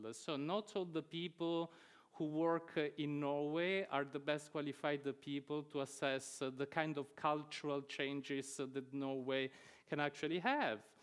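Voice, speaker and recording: A man's fairly high voice with a non-native accent, fairly even intonation and very even loudness at a fairly slow pace, over a quiet background. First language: not English. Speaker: researcher in responsible research and innovation. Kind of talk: academic talk. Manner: hesitant, many filler sounds.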